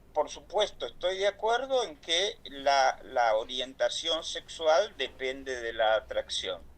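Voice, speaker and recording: A man with a Rioplatense accent talks at a very slow pace with hardly any pauses. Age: 70s. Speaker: LGBT activist speaker. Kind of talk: online talk. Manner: halting.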